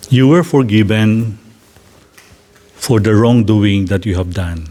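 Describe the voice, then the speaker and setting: Over noticeable background noise, a man with a Filipino accent speaks very slowly at a fairly low pitch with ordinary pitch variation. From Philippines. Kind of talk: talk with guided reflection.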